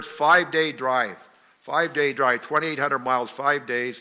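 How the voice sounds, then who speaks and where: A man talks with a Canadian accent and ordinary pitch variation. His tone is bright and sharp. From northern British Columbia, Canada. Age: 70s. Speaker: retired professional hockey player. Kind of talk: after-dinner talk. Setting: banquet hall with audience.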